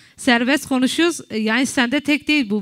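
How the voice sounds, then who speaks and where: The speech runs at a fairly quick pace on a very clean recording with a silent background. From Kurdish region of Turkey. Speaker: talk show host. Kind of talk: casual chat.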